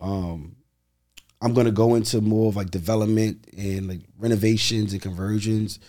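Speaking with a New York accent, a man keeps a moderate pace and fairly even intonation. His voice has a dark, mellow tone and a fairly low pitch. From Brooklyn, New York. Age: 30s. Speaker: real estate investor. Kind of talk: interview.

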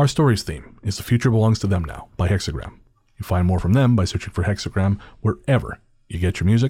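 At a very fast pace, a man with a Canadian accent speaks in a fairly low, dark, mellow, somewhat breathy voice, in a very clean recording with a silent background. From Canada. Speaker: podcast host. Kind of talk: casual chat.

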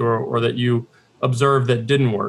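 This man talks at a fairly quick pace, his medium-pitched voice somewhat breathy. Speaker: managing director of a conference forum. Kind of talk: interview. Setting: video call.

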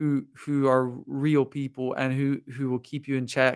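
This is a plain, everyday voice from a man with an American accent, fairly high in pitch and fairly slow, on a very clean recording with a silent background. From Lancaster County, Pennsylvania, US. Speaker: singer-songwriter. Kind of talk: casual interview chat. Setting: studio.

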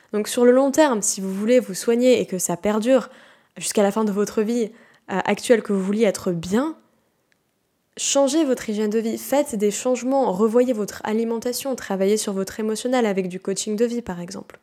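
On a very clean recording with a silent background, a woman uses a normal speaking voice, fairly high in pitch, with ordinary pitch variation at a moderate pace. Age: 20s. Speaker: naturopath and health podcaster. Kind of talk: solo educational podcast monologue. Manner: casual, conversational with fillers.

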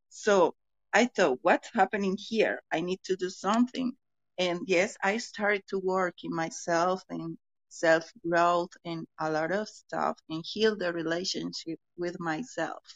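A woman with a Colombian accent speaks fairly slowly at a medium pitch with ordinary pitch variation. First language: Spanish. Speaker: podcast listener and participant. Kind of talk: casual group chat. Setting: online audio room. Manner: halting, hesitant English.

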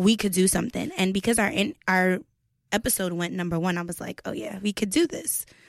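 A plain, everyday voice from a woman at medium pitch, ordinary pitch variation, dry, close sound with no echo, very clean recording and silent background. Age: young. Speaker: podcast co-host and musician. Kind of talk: casual interview. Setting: studio.

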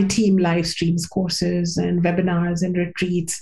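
A woman speaks at a moderate pace with audible room echo around her voice. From India. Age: 50s. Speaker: spiritual teacher and author. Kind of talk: interview.

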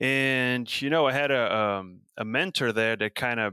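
At a moderate pace, a man talks in a bright, sharp tone with fairly even intonation, the sound dry and close with no echo. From Brazil, São Paulo state. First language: Portuguese. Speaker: professor and beef cattle researcher. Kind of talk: interview. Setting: video call.

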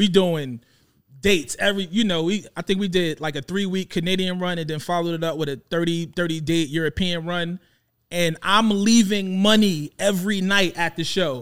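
A man with a New York accent, high-pitched and fairly even in intonation, at a moderate pace over a very clean recording and silent background. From Brooklyn, New York (Coney Island). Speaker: rapper and music executive. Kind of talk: casual chat. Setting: studio.

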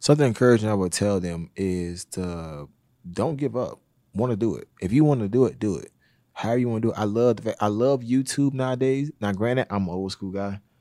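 In a Southern US accent, a man speaks at a fairly low pitch and a fairly quick pace, with ordinary pitch variation. His tone is dark and mellow, and the recording is very clean with a silent background. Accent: Southern US (Georgia). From US South, Georgia. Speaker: boxing coach and security business owner. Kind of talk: casual interview.

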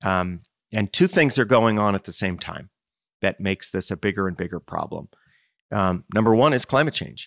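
An ordinary speaking voice with an American accent moves at a moderate pace with lively intonation, recorded dry and close with no echo against a very clean, silent background. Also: man, fairly low pitch for a man. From US Northeast, Princeton, New Jersey. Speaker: nonprofit executive director. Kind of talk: interview.

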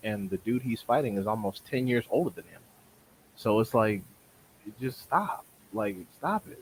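A somewhat breathy man. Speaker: boxing podcast co-host. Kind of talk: casual chat. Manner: animated.

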